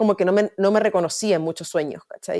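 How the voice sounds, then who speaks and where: The voice has a dark, mellow tone and ordinary pitch variation, recorded very cleanly with a silent background and a dry, close sound free of echo. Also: woman. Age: 30s. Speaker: visual artist and actress. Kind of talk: casual interview. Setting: at home.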